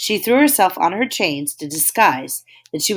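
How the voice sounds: Natural reading, with a quiet background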